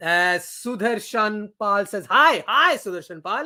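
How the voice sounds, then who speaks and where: A man's high, bright, sharp voice with an American accent, raised and projected, animated in tone with lively intonation, on a very clean recording with a silent background. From Pakistan. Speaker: cricket streamer. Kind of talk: live watchalong commentary and chat. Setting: live stream. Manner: casual, animated.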